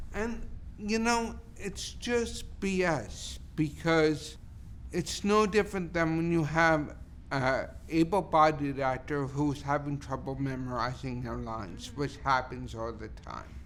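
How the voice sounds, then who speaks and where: Audible room echo comes through as a man speaks at a very slow pace. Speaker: theatre artistic director and actor. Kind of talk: interview conversation.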